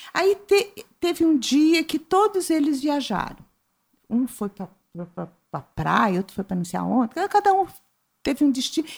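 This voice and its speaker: Very wide pitch swings run through the speech. The delivery is fairly slow. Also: woman. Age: 60s. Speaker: writer and visual artist. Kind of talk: interview.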